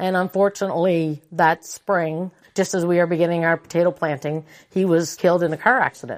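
The woman has an unremarkable speaking voice, fairly low in pitch, moving at a fairly quick pace with fairly even intonation on a very clean recording with a silent background. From Prince Edward Island, Canada. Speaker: farm manager. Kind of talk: interview.

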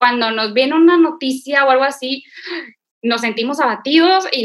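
At a moderate pace, a woman talks with a high pitch and lively intonation. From Monterrey, Nuevo León, Mexico. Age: 20s. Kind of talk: casual faith conversation and testimony.

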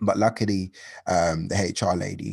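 With a London accent, a man moves at a moderate pace and keeps his intonation fairly even. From London, Hackney. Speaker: creative entrepreneur, events founder. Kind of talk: interview.

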